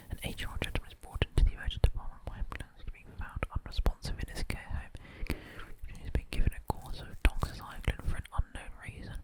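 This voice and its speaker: Whispering at a very fast pace comes through over noticeable background noise. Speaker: doctor. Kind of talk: ASMR study session. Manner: whispered, quiet.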